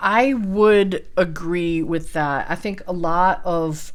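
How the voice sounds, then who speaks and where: This woman has a fairly low pitch. She speaks with a Midwestern accent. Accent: Midwestern twang. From US Midwest. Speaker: realtor. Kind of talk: market commentary responding to prompts. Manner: casual, with fillers.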